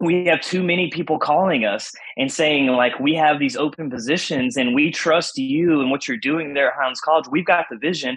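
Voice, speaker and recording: A man's unremarkable speaking voice, fairly high in pitch, at a moderate pace. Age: 30s. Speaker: Bible college professor and pastor. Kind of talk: casual interview conversation.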